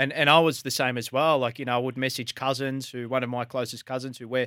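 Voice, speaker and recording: Speaking at a very fast pace, a man has a bright, sharp tone and an Australian accent. The recording is very clean, the background silent. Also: dry, close sound with no echo. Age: 20s. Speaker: sports radio host. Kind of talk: casual chat. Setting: studio.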